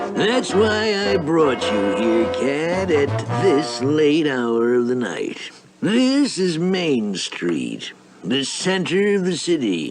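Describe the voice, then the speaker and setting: A man's cartoonish character voice at a very slow pace, fairly high-pitched with very wide pitch swings, over clear background music. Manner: pompous, gloating.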